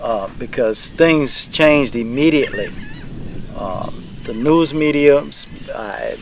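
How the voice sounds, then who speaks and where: Pitch rises and falls in a usual way, with background noise plainly audible. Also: man, big swings in loudness. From Louisiana, Plaquemines Parish. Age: 60s. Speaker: shrimp fisherman. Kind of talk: interview testimony. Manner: halting, many fillers.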